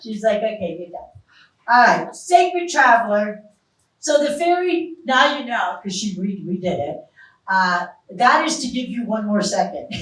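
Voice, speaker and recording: A woman with a fairly high pitch speaks at a moderate pace in an animated tone, her pitch swinging very widely and her loudness in big swings, with audible room echo. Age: 60s. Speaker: psychic medium. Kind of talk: live stage psychic reading show.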